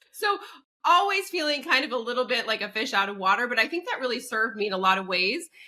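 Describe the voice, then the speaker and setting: Speaking at a very fast pace, a woman has an American accent. Her voice is high and swings very widely in pitch. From France, then United States. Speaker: psychic medium and entertainer. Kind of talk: podcast interview.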